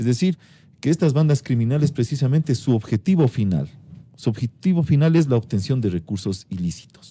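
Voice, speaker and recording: A man with a dark, mellow tone and medium pitch talks at a fairly quick pace, somewhat breathy, with very wide pitch swings, in a dry, close sound with no echo. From Ecuador. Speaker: interviewed prosecutor general. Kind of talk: radio interview answer.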